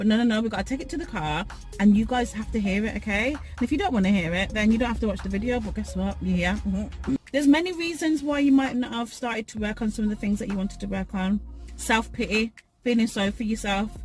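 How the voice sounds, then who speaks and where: A woman talks at a fairly quick pace while music plays in the background. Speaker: motivational YouTuber. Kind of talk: motivational talk. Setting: in a car. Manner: loud.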